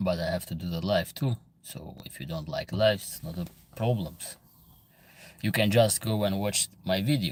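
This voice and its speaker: A man with a fairly low pitch speaks at a moderate pace with lively intonation. He leaves long, frequent pauses. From Albania. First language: Albanian. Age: 30s. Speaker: livestream host. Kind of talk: casual chat. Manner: halting.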